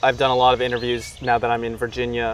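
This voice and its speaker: A man speaks at a medium pitch. The sound is dry with no echo, over light background noise. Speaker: interviewer, comedian journalist. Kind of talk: casual interview questions. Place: garden. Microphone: camera far.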